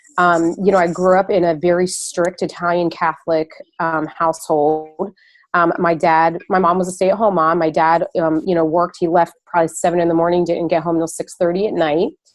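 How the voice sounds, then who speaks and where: Over a quiet background, a woman talks at a fairly quick pace with a fairly low pitch, monotone, flat intonation and very even loudness. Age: 40s. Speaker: fitness business coach. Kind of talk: Q&A on a group call. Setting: conference call.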